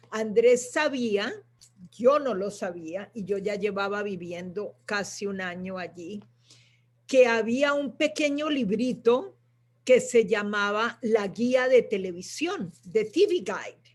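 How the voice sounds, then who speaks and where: Her delivery is very slow, coming from a female speaker. The pitch sits fairly high and the intonation is lively. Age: 70s. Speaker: writer's sister and guest speaker. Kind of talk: live panel conversation. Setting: live online stream. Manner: halting, many fillers.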